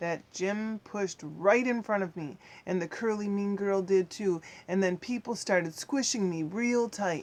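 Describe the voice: This is plain reading aloud, and the pitch moves up and down in an ordinary way.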